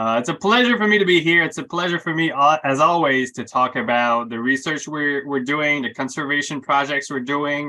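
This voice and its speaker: Bright, sharp tone at a fairly quick pace, with ordinary pitch variation and hardly any pauses. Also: man, fairly high pitch for a man. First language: French. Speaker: research biologist. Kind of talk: lecture. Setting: video call.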